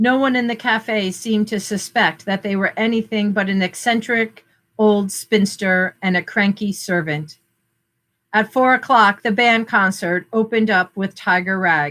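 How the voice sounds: A woman's bright, sharp voice at a medium pitch with a Northern US accent, ordinary pitch variation and a fairly slow pace, on a very clean recording with a silent background. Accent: plain northern American.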